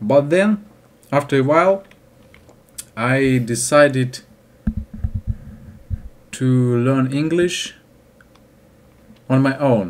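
A man with a Russian accent talks at a very slow pace, leaving long, frequent pauses. Light background noise sits behind him. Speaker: English learner vlogger. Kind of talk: casual talk to camera. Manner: hesitant, halting. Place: home room. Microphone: webcam.

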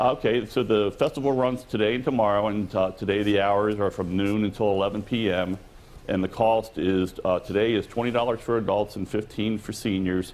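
In an unremarkable speaking voice, a man talks at a moderate pace with a fairly low pitch and fairly even intonation. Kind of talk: interview answer. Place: hall.

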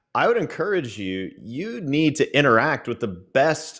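A man is speaking. The background is quiet. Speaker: pastor. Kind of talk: casual theological discussion. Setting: video call. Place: home room. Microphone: studio mic.

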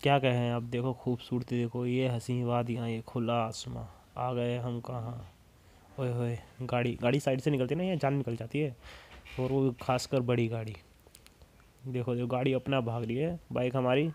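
A man speaks at a fairly slow pace. His intonation is monotone and flat. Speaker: motorbike rider vlogger. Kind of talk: casual vlog chat. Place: motorbike.

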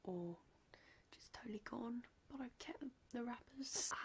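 Soft-spoken and relaxed in tone, a woman talks. Her pace is fairly slow. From UK. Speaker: ASMR content creator. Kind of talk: casual talk to camera, candy haul review. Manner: soft-spoken, relaxed. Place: home room. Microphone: studio mic.

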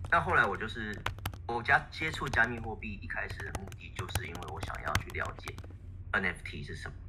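Whispering from a man with a Taiwanese accent, at a moderate pace with big swings in loudness. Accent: Taiwanese Mandarin. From Taiwan, Taipei. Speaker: poet. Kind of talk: online panel discussion. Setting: voice chat call.

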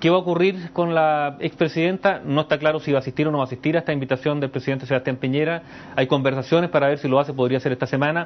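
Talking at a very fast pace, a man uses a fairly high voice with fairly even intonation. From Chile. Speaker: political commentator. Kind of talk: news analysis interview. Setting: remote link from radio studio. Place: studio. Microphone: lapel.

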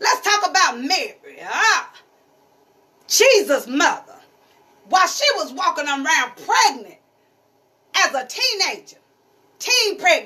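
A woman speaks at an extremely high pitch in a raised, projected voice, her pitch swinging very widely. Her tone is bright and sharp, and her fairly slow pace is broken by long, frequent pauses. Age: 50s. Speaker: pastor's wife and preacher; pastor's wife, preacher. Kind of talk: sermon. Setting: church. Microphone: phone near.

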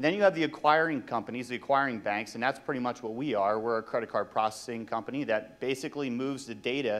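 A man speaks at a very fast pace. His intonation is fairly even. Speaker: presenter. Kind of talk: conference presentation. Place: hall. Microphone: handheld.

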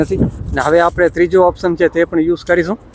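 A man's voice, dry and close with no echo, over noticeable background noise. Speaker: vlogger. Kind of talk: casual vlog narration / product review. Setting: outdoors in forest.

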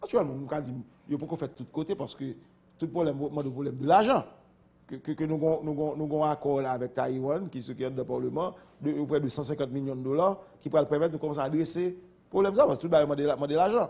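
Keeping a fairly quick pace, a man speaks in a dark, mellow tone with ordinary pitch variation. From Haiti. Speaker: politician. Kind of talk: interview. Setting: studio. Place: studio. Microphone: lapel.

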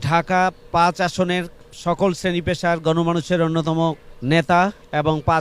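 This is a man speaking. His pitch is high. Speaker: city-level political party leader. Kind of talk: political speech at a ceremony. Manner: formal.

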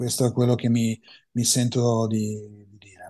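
Against a quiet background, a man speaks in a dark, mellow tone with monotone, flat intonation. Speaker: mastering engineer and headphone expert; guest. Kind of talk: interview. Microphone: video call.

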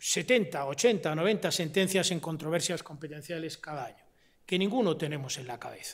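A man speaks fairly slowly, his pitch varying in an ordinary way, with a quiet background behind him. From Spain. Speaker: constitutional law professor; invited lecturer, constitutional law professor. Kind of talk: lecture. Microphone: podium.

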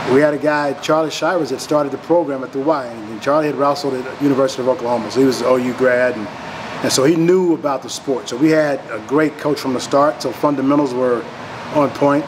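Over noticeable background noise, a man talks very fast with fairly even intonation. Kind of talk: interview answer.

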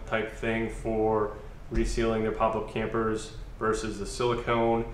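Speaking at a moderate pace, a man uses a fairly low pitch. The room echo is audible, with light background noise. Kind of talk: tutorial. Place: garage.

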